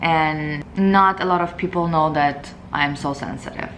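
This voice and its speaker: The speech moves at a fairly slow pace with fairly even intonation, in a Russian accent. Room echo can be heard. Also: woman. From Moldova. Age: 20s. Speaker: beauty vlogger. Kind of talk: casual Q&A vlog.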